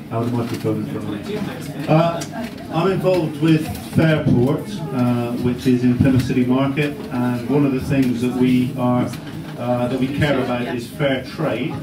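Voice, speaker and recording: Audible room echo and noticeable background noise surround a voice with fairly even intonation at a moderate pace. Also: man, medium pitch for a man. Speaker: fair trade advocate, community talk speaker. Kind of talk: public talk. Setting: cafe event with live audience, microphone. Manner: loud.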